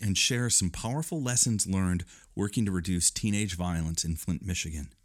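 Lively intonation from a man with an American accent, a plain, everyday voice at a fairly quick pace, on a very clean recording with a silent background. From Northern Illinois. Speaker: podcast host. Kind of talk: interview conversation.

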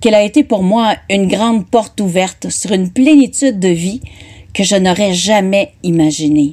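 Speaking at a moderate pace, a woman has a medium pitch, a dark, mellow tone, very even loudness and ordinary pitch variation. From northern Ontario. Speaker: writer. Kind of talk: reading aloud.

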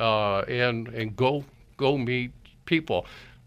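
In a very clean recording with a silent background, a man at medium pitch speaks very slowly in a bright, sharp tone with ordinary pitch variation. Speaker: business consultant and founder. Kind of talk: radio interview. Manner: hesitant, many filler words.

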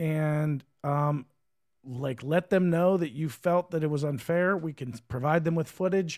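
In a very clean recording with a silent background and a dry, close sound with no echo, a man with a normal speaking voice talks at a fairly slow pace, fairly high in pitch, with fairly even intonation. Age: 40s. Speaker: fight promoter and podcast co-host. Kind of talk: casual chat. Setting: studio. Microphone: good studio mic.

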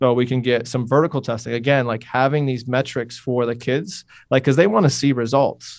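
Speaking in an upstate New York accent, a man keeps a fairly quick pace and fairly even intonation at medium pitch. The background is quiet. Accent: upstate New York American. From upstate New York, Utica. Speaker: strength coach and PE teacher. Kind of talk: interview. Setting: phone call. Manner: casual, many fillers.

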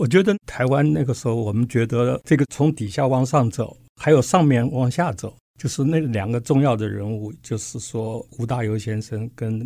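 A man speaks in a dark, mellow tone with lively intonation and hardly any pauses. The recording is very clean, with a silent background. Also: medium pitch for a man, moderate pace. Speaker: physics professor. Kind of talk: interview.

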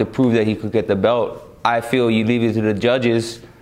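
Against noticeable background noise, a man of medium pitch speaks at a fairly quick pace. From Hawaii. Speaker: MMA fighter. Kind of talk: interview. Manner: energetic.

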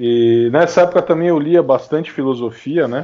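This man's pitch is fairly high, varying in an ordinary way. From Brazil, São Paulo city. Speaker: author and graphic designer. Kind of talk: casual interview chat. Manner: halting, many fillers.

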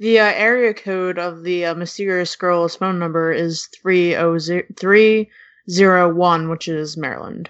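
At a fairly slow pace, a woman speaks in a plain, everyday voice with a fairly low pitch and fairly even intonation. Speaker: podcast panelist. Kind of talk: casual chat.

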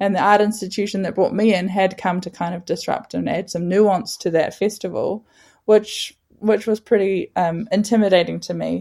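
The intonation is monotone and flat, with a dark, mellow tone and a New Zealand accent. The pace is moderate, and the recording is very clean with a silent background. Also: woman, medium pitch for a woman. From New Zealand, Northland. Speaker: artist and activist. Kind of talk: interview.

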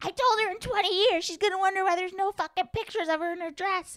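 A woman puts on a character voice in a strong Chicago accent, extremely high-pitched and very fast. Her intonation stays fairly even, and the sound is dry and close with no echo. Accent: thick Chicago. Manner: scolding, exasperated.

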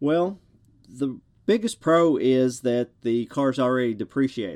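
On a very clean recording with a silent background, a man speaks at a fairly slow pace. He has a strong Southern US accent and lively intonation. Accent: thick Southern US. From US South. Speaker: podcast host. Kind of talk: solo monologue podcast.

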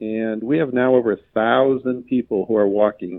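Using a plain, everyday voice, a man speaks at a moderate pace and a fairly low pitch with fairly even intonation. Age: 60s. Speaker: physician and patient safety CEO. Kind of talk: interview.

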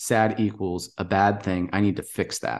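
A man speaks in a normal speaking voice, fairly low in pitch with ordinary pitch variation. The background is quiet. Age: 40s. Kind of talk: casual chat.

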